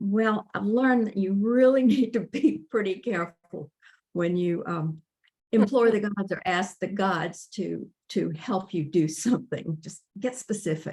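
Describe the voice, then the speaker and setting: Somewhat breathy, a woman with an American accent speaks at a fairly slow pace in a medium pitch with ordinary pitch variation. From US Midwest, rural Kansas. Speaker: author. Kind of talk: interview. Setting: motel room, online call. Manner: halting.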